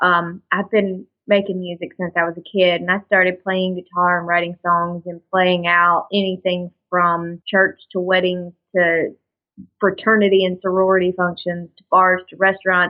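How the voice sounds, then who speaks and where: A woman with a Southern US accent speaks in a flat monotone while her loudness swings widely. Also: medium pitch for a woman, moderate pace. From Alabama, US South. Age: 20s. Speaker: country singer. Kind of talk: interview.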